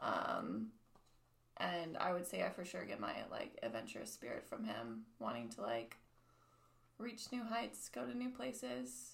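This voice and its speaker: Recorded with audible room echo, a woman speaks fairly slowly at a fairly low pitch, with vocal fry and very wide pitch swings. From US, military family, various states. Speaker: restaurant server, church member. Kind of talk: casual chat.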